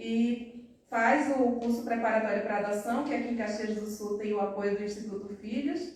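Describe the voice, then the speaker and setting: In a room with audible echo, a woman with a fairly high pitch talks at a moderate pace with hardly any pauses and fairly even intonation. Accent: Recife. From Brazil, Recife. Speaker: adoptive mother, accountant. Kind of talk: personal testimony at public event. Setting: city council chamber, live-streamed event. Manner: conversational, many fillers.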